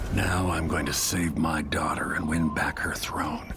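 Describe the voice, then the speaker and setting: Whispering at a moderate pace, a man uses a put-on character voice over loud background noise. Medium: machinima. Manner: gruff, brooding.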